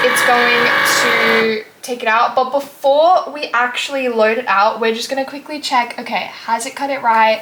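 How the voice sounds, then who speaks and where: A woman speaks in a high pitch. Noticeable background noise can be heard. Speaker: crafting tutorial vlogger. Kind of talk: tutorial. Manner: hesitant, many fillers.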